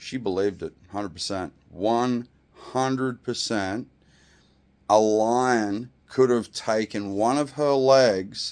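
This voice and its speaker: A man at medium pitch, ordinary pitch variation, and a very slow pace. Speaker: vlogger. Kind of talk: opinion rant to camera. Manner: loud; animated.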